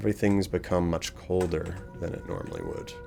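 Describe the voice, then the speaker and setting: A man's very deep, low voice with ordinary pitch variation, music playing in the background. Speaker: gaming streamer. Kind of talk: live gameplay commentary. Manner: fast.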